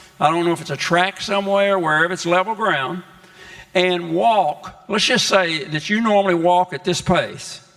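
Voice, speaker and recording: A man's high-pitched voice at a moderate pace, with fairly even intonation and noticeable background noise. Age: 80s+. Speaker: health educator. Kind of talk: health talk to congregation. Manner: halting.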